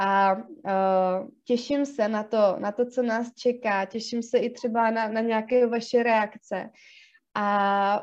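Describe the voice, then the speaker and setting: Against a quiet background, a woman talks at a very slow pace in a fairly high, monotone, flat voice. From South Bohemia, Czech Republic. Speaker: psychologist and podcast co-host. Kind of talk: casual chat. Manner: hesitant, many fillers.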